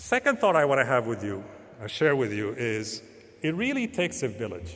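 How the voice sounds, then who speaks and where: A man with a normal speaking voice, lively intonation, and a fairly quick pace. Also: medium pitch for a man. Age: 50s. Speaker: professor and panel moderator. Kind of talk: panel introduction speech.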